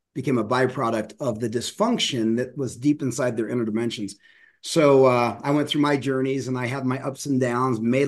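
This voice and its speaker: In an American accent, a man with an ordinary speaking voice talks at a fairly quick pace and medium pitch with fairly even intonation against a quiet background. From US, Denver. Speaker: professional speaker and communication coach. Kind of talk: interview conversation.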